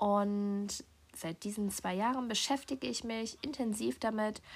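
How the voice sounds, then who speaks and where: Relaxed in tone and somewhat breathy, a woman speaks fairly slowly at a medium pitch. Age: 20s. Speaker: podcast host. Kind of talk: personal monologue.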